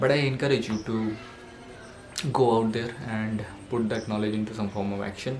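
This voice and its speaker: Music plays behind a man, and room echo is audible. He speaks at a moderate pace and medium pitch in a flat monotone. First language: not English. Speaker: self-help vlogger. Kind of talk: motivational monologue. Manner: halting, with fillers.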